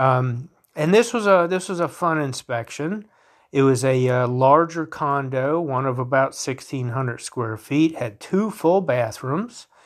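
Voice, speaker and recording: With an American accent, a plain, everyday voice moves at a fairly slow pace with ordinary pitch variation in a very clean recording with a silent background. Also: man, fairly high pitch for a man. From North Carolina. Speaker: podcast host, home inspector. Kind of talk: solo monologue, informal explainer. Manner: casual, with frequent fillers and restarts.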